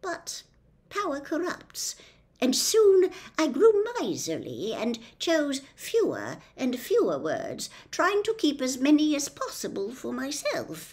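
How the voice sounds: At a slow pace, a woman does a put-on character voice, pitched high with very wide swings and a slightly mellow tone.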